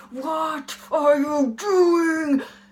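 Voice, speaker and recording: A woman speaks in a high-pitched, put-on character voice. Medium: read story. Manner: commanding.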